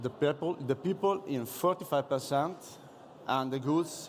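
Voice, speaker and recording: The speaker has an Italian accent and goes at a fairly slow pace. Pitch variation is ordinary. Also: man. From Italy. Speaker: police officer. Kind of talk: conference presentation. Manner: halting.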